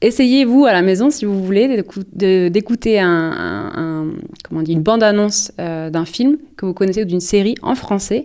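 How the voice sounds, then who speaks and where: At a moderate pace, a woman with a medium pitch and a dark, mellow tone speaks with ordinary pitch variation. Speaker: podcast co-host. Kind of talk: casual chat. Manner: hesitant, many fillers.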